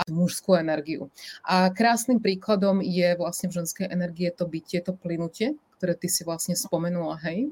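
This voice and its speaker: Her voice is somewhat breathy. The speaker is a woman. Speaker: life coach. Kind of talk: interview. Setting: live stream.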